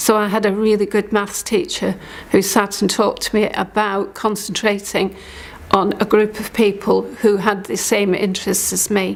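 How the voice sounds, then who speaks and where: Monotone, flat speech comes at a moderate pace over noticeable background noise. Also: woman, medium pitch for a woman. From Scotland, St Andrews, Fife. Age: 60s. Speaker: storyteller sharing life story. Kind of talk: personal testimony. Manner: hesitant, many fillers.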